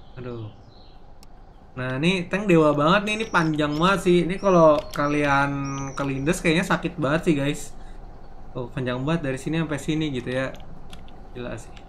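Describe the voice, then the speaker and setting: Long, frequent pauses and big swings in loudness mark this speech, which has ordinary pitch variation over light background noise. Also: man, fairly high pitch for a man. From Indonesia. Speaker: gaming streamer. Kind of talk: live gameplay commentary. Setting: live stream. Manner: fast; animated. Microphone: headset.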